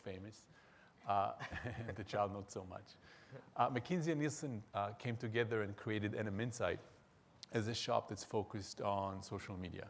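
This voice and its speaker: Speaking in an Israeli accent, a man with a fairly low pitch goes at a fairly quick pace, using fairly even intonation and long, frequent pauses. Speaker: market research executive, panelist. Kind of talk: panel discussion.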